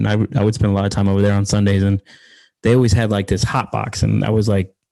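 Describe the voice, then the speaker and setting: With an American accent and a dark, mellow tone, a man talks at a very fast pace and a fairly low pitch. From Philadelphia, Pennsylvania. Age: 30s. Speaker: sports content creator, team commentator. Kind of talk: casual interview chat. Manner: animated, casual with fillers.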